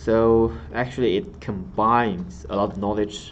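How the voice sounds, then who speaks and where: A man with a Chinese accent and audible room echo. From China. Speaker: exam tutor. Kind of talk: lecture. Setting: live stream.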